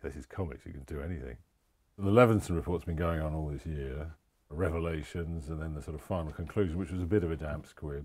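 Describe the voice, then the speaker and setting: The background is quiet. A man speaks at very deep, low pitch. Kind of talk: documentary interview reflection. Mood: weary, sardonic, frustrated.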